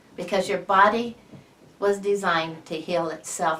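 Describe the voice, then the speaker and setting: A woman speaking at a fairly slow pace, with noticeable background noise and audible room echo. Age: 60s. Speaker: patient giving a testimonial. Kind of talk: testimony. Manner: halting.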